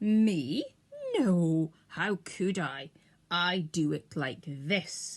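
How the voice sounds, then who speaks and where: A female-sounding put-on character voice speaks at a very slow pace. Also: fairly low pitch for a woman. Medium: read story.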